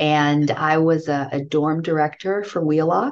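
Against a quiet background, a woman with an American accent speaks at a fairly slow pace in a very deep, low pitch. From US Northeast, Brooklyn, New York. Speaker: university fundraising executive. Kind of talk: interview.

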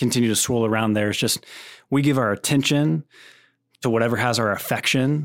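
A man speaks with an American accent at a medium pitch in an unremarkable speaking voice. The recording is very clean, with a silent background. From Texas (Plano). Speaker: camp ministry director. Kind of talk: podcast interview.

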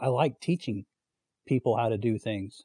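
Speaking in a North Carolina accent, a man has a dark, mellow tone with ordinary pitch variation and a dry, close sound with no echo. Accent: US South (North Carolina). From North Carolina (Fayetteville). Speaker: outside sales representative. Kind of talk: casual chat.

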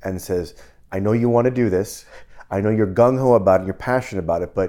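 Fairly quick and fairly low-pitched, a man talks with a dark, mellow tone. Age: 40s. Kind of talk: casual chat.

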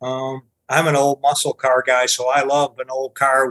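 The voice is monotone, with flat intonation, at a moderate pace. The sound is dry and close, with no echo. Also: man. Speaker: crane service director. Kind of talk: casual interview discussion.

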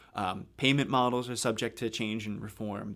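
On a very clean recording with a silent background, a man with an American accent speaks in a normal speaking voice, fairly quick in pace, medium in pitch and fairly even in intonation. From US, South Jersey near Philadelphia. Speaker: health care quality researcher. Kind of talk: interview.

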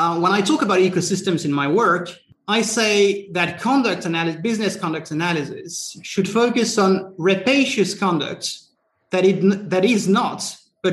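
This man speaks with a French accent. His pitch is high. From France. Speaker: antitrust scholar. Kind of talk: panel discussion. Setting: webinar.

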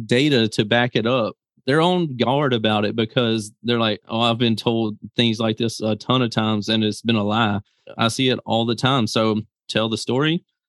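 A man talks with a Southern US accent. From Mississippi, US South. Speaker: business founder and YouTuber. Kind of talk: interview. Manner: casual, laughs often.

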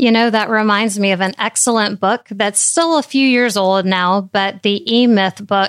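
In a plain, everyday voice, a woman speaks at medium pitch and a moderate pace with fairly even intonation, recorded very cleanly against a silent background with a dry, close sound and no echo. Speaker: dental CPA and teacher. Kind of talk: interview conversation.

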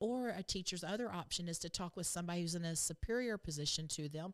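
In a Texan accent, a woman speaks at a very fast pace on a very clean recording with a silent background. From Texas. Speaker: state education board member. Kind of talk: interview.

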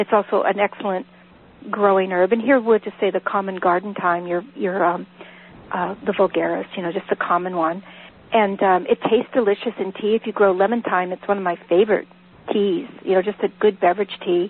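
Using a plain, everyday voice, a woman with an American accent speaks at medium pitch and a fairly quick pace, with fairly even intonation. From Northern California. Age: 50s. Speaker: herbalist and author. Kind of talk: live radio interview.

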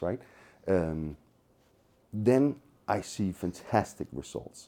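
The voice has a dark, mellow tone and a Danish accent. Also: man. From Denmark, Copenhagen. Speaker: tech company co-founder. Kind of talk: interview. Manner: animated.

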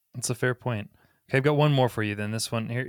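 A man with an ordinary speaking voice, medium pitch and ordinary pitch variation, dry, close sound with no echo, very clean recording, silent background. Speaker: podcast co-host and marketing executive. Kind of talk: interview.

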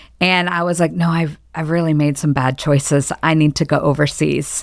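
A woman with a Midwestern American accent talks at a moderate pace in a fairly low voice. The recording is very clean, with a silent background. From Michigan. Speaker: church groups director, former missionary. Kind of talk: casual interview.

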